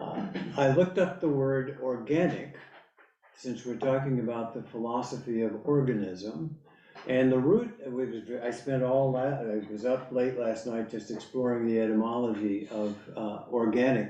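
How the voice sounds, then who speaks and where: Over noticeable background noise and audible room echo, a man talks at a medium pitch and moderate pace with ordinary pitch variation. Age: 70s. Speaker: lecturer on philosophy. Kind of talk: lecture. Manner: halting.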